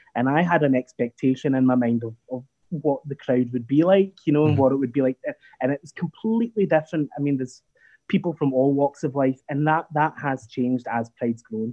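A man with a normal speaking voice talks at a fairly quick pace, fairly high in pitch with ordinary pitch variation. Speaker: Pride event director. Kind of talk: interview.

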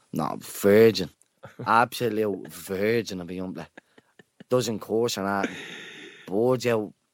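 A man with a Dublin accent speaks at a fairly low pitch and a fairly slow pace. His pitch varies in an ordinary way, with long, frequent pauses. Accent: Dublin Irish. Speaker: podcast co-host. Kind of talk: casual chat. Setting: stage in empty stadium.

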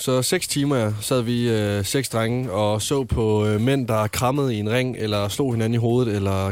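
A man speaks in a plain, everyday voice at a medium pitch. His intonation is fairly even, with hardly any pauses. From Jutland, Denmark. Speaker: radio show co-host. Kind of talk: casual chat. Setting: studio.

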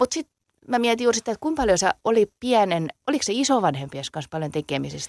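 This woman talks at a very fast pace with very wide pitch swings. Her voice sounds dry and close, with no echo. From southwest Finland. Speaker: dialect poet. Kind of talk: casual interview.

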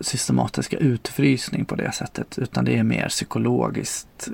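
A man speaks at a moderate pace with a dry, close sound and no echo, though noticeable background noise is present. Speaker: former sect member. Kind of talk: testimony.

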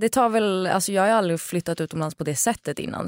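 A woman speaks with ordinary pitch variation in a dry, close sound with no echo, on a very clean recording with a silent background. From Sweden. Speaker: influencer and TV presenter. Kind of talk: casual chat. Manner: talkative.

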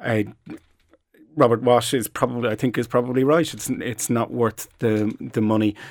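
Speaking with a Dublin accent, a man uses a medium pitch, fairly even intonation and a moderate pace. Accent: Irish (Dublin). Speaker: social scientist. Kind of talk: panel discussion. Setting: studio.

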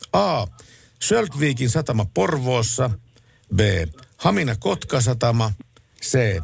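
A somewhat breathy voice at a very slow pace. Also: man. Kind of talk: radio dj patter. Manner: relaxed, chatty night-radio banter, with frequent filler words and restarts.

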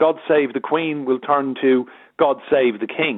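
At a moderate pace, a man speaks at a fairly high pitch in an unremarkable speaking voice. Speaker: media consultant and journalist. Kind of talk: radio interview.

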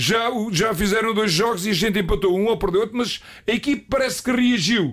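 The speaker is a man with a high pitch. He talks at a fairly quick pace. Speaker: retired football coach. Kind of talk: casual interview storytelling. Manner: animated.

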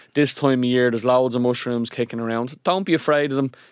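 A man with a Dublin accent in a dry, close sound with no echo, on a very clean recording with a silent background. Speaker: podcast co-host. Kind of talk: casual chat.

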